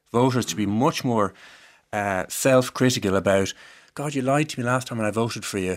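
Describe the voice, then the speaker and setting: Talking at a fairly quick pace, a man shows ordinary pitch variation. The recording is very clean, with a silent background. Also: medium pitch for a man. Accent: Irish. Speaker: law professor. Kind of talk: panel discussion.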